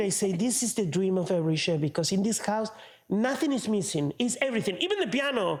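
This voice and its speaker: Over noticeable background noise, a high-pitched man talks very fast in an Argentine accent, his intonation lively. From Argentina. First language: Spanish. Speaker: opera tenor. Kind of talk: interview answer. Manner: animated, colorful.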